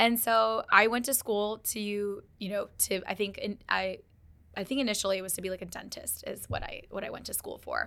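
Her loudness shifting in big swings, a woman keeps a moderate pace. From Texas, Dallas. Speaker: tech entrepreneur. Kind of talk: interview.

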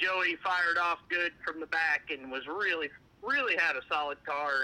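A man with a Southern US accent at a moderate pace with ordinary pitch variation. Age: 30s. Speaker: motorsport crew chief. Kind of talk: interview.

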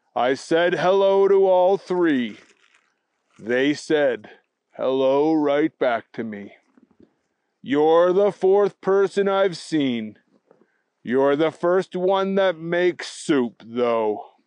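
A man puts on a character voice at a fairly high pitch. He speaks at a very slow pace with long, frequent pauses. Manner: slow, monotone, droning.

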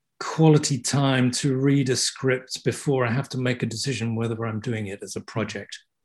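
A man's dark, mellow, somewhat breathy voice with a southern English accent. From southeast England (Kent). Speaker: theatre set and costume designer. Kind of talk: interview. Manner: halting.

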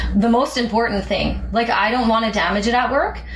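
Fairly high-pitched woman with a Canadian accent, fairly even intonation and noticeable background noise. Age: 20s. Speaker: aircraft maintenance engineer. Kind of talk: interview.

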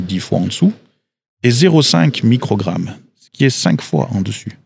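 A man speaks with lively intonation and vocal fry. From Switzerland, Valais. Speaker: agricultural expert. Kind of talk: interview. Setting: outdoors.

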